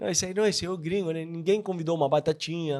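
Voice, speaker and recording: A man talks in a Spanish accent. The recording is very clean, with a silent background. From Argentina. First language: Spanish (speaking Portuguese). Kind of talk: casual chat.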